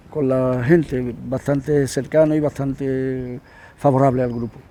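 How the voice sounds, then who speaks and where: This man's voice is fairly high in pitch, with a dark, mellow tone. His intonation stays fairly even. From Andalusia, Spain (Huelva). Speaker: musician, guitarist in a rock band. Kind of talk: interview, casual chat. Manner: halting, many repetitions.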